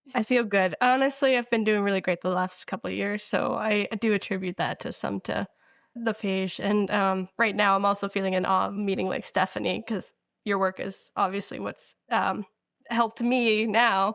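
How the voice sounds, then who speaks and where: A woman at medium pitch with an unremarkable speaking voice, fairly even intonation and a moderate pace, dry and close with no echo, on a very clean recording with a silent background. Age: young. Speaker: patient with cystic fibrosis. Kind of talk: interview.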